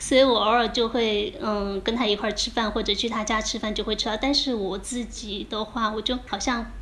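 A woman talks at a fairly quick pace, with hardly any pauses and a fairly high pitch. Her intonation is monotone and flat, with noticeable background noise around her. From Jiangxi, Fuzhou (Linchuan). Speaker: podcast host. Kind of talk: casual chat. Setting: remote recording, evening.

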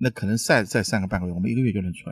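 A man speaks in an animated tone. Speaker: restaurant owner and chef. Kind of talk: casual chat over a meal, explaining food. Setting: restaurant during a meal.

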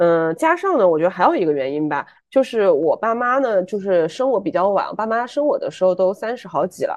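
A woman with a medium pitch talks in an animated tone, her pitch swinging very widely. She moves at a fairly quick pace with hardly any pauses against a quiet background. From Chengdu, Sichuan, China. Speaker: podcast co-host. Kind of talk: casual chat.

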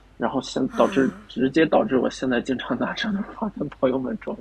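A man speaks at a high pitch for a male voice, his pitch swinging very widely. His pace is moderate, with noticeable background noise. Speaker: dating show contestant. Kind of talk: casual chat. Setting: video call.

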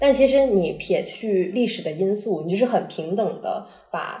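At a moderate pace and a medium pitch, a woman speaks with ordinary pitch variation over noticeable background noise. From Chaoshan, Guangdong. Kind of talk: casual chat. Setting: recorded together in person.

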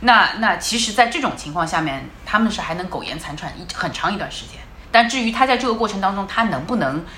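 Over noticeable background noise and audible room echo, a woman at a medium pitch speaks at a very fast pace with lively intonation and big swings in loudness. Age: 40s. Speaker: former car brand marketing head. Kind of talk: casual chat. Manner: repetitive stammering.

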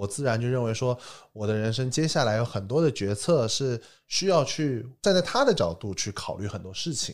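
A man with a normal speaking voice talks at a medium pitch and a moderate pace, with big swings in loudness. The recording is very clean, with a silent background. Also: lively intonation. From Taiwan, then mainland China from age ten. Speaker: entrepreneur. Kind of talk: casual chat. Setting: studio.

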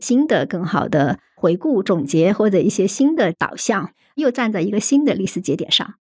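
A woman with a normal speaking voice and medium pitch speaks at a fairly quick pace over a quiet background. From Hunan, China. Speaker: rare disease policy researcher. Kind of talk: casual chat.

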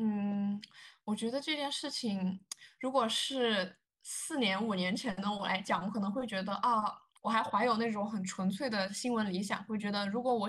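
Pitch varies in an ordinary way at a moderate pace. It is an ordinary speaking voice. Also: woman. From China. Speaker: journalist. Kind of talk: interview.

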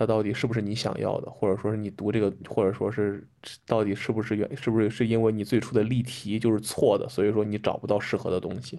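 The speaker is a man. His tone is dark and mellow. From Henan, China. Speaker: PhD student. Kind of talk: casual chat. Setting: remote recording, two-hour time difference.

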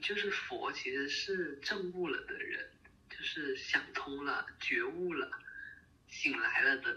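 A very slow pace over noticeable background noise. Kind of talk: casual chat. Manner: halting, many fillers and repeats.

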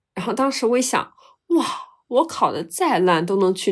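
A woman with a fairly high voice and very wide pitch swings, recorded very cleanly against a silent background. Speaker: podcast co-host, university student. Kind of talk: casual chat.

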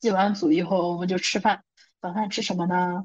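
This is a woman's voice at a medium pitch. It sounds somewhat breathy. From northern China (Shanxi). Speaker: podcast co-host. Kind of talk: casual chat. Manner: animated.

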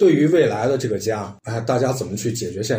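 A man with a dark, mellow, somewhat breathy tone speaks at medium pitch and a fairly quick pace. His intonation is lively, and the room echo is audible. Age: 30s. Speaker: podcast host. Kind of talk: casual chat.

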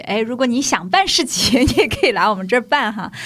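A woman uses a normal speaking voice with a fairly high pitch and lively intonation. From Shanghai (old Nanshi district). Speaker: community development worker. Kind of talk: casual chat.

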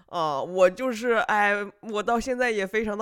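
A man talks at a moderate pace in an animated tone. His pitch is high. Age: 30s. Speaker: podcast host. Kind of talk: casual monologue storytelling.

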